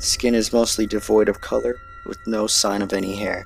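Music plays behind a man speaking at a moderate pace. The sound is dry, with no echo. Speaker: narrator. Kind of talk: scripted explainer narration.

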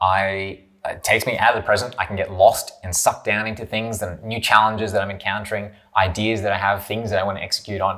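A man's very fast speech with a bright, sharp tone and monotone, flat intonation over a quiet background. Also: fairly low pitch for a man. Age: 30s. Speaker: YouTuber and online business entrepreneur; business vlogger. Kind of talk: monologue to camera. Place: home room.

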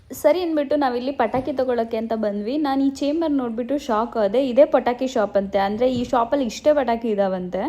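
A woman's high-pitched voice with a dark, mellow tone and ordinary pitch variation. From India, Karnataka (Kunigal, Tumkur district). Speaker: vlogger. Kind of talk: casual vlog narration.

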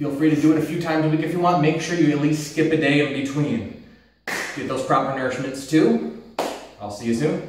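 A man talks at a fairly quick pace. Audible room echo and light background noise accompany him. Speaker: fitness trainer. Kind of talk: workout instruction. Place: gym.

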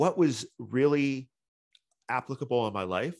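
The speaker is a man. Vocal fry runs through his voice. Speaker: software developer and spiritual seeker. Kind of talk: podcast interview. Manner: halting, with many fillers.

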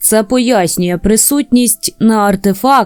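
Reading aloud naturally, with pitch that rises and falls ordinarily

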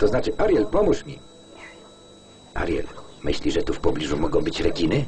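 Noticeable background noise sits behind the recording. A man talks over it at a moderate pace. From Poland. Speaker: film voice-over reader. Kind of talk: film voice-over lektor reading.

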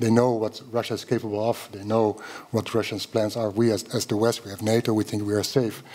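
Speaking at a fairly quick pace, a man with a dark, mellow tone keeps his intonation monotone and flat. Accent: Dutch. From Netherlands. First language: Dutch. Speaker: journalist. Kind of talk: panel discussion. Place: hall. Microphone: podium.

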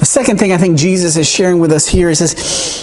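A man talks at a fairly quick pace in a high voice. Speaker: pastor. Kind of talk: sermon. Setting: church. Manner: enthusiastic. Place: church.

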